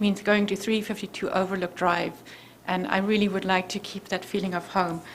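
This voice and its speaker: In a South African accent, a woman speaks at a moderate pace with a medium pitch. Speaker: resident speaking at public hearing. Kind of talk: public comment at zoning hearing.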